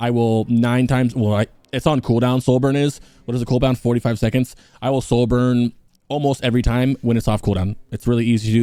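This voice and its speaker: Mumbling at a very fast pace, a man keeps a medium pitch, very even loudness and a monotone, flat intonation in a dark, mellow tone. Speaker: gaming guide youtuber. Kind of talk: unscripted gameplay tutorial.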